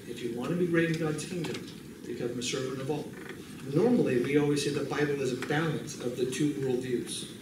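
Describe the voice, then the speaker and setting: Over noticeable background noise and audible room echo, a man talks at a moderate pace with a fairly high pitch and fairly even intonation. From US, California. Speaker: bible college missions instructor. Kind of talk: lecture. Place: classroom. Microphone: podium.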